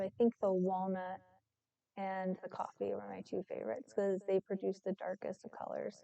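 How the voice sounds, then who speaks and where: A soft-spoken woman in a dry, close sound with no echo. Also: moderate pace. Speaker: artist streaming live painting. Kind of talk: casual live-stream chat while painting. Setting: live stream at home with cat. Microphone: too quiet.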